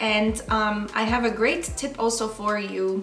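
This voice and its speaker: In a Polish accent, a woman speaks at a fairly high pitch with fairly even intonation, amid noticeable background noise and audible room echo. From Poland. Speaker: makeup artist and beauty vlogger. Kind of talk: makeup tutorial. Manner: casual with filler ums.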